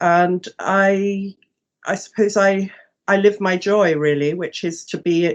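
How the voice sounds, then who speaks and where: A woman with an English accent, flat monotone intonation, quiet background. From England. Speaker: herbalist and psychotherapist. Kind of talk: interview. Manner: halting, many fillers and repeats.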